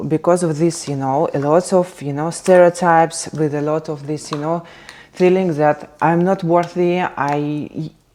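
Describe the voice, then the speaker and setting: A woman with a Russian accent speaks fairly slowly at a fairly low pitch with monotone, flat intonation over noticeable background noise. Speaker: content creator. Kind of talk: casual vlog chat. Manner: halting, many fillers.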